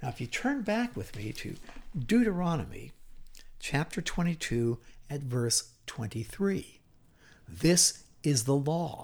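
With a fairly high pitch and very wide pitch swings, a somewhat breathy man speaks at a very slow pace with long, frequent pauses. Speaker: Bible teacher. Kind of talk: Bible teaching lecture.

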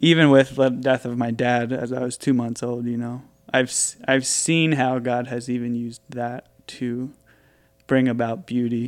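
Speaking in an American accent, a man uses a medium pitch and a monotone, flat intonation. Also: moderate pace. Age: 20s. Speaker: coffee entrepreneur. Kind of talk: casual chat.

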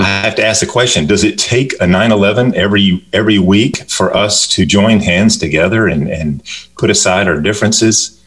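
Against noticeable background noise, a man with a fairly low pitch talks at a moderate pace with hardly any pauses, ordinary pitch variation and very even loudness. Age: 50s. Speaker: children's book author. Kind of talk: radio interview.

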